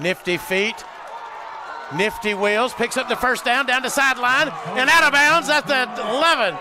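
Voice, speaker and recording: Over noticeable background noise, a man with an American accent talks in a raised, projected voice. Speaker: play-by-play sports announcer. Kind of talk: live commentary. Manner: animated; loud.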